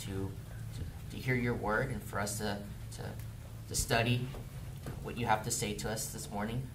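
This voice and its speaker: Over noticeable background noise, a man talks fairly quickly, showing ordinary pitch variation. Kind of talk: prayer then sermon. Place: church. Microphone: camera far.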